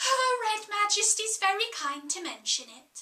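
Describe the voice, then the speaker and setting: A put-on character voice. It sounds squeaky. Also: woman, extremely high pitch for a woman, moderate pace. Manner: murmuring.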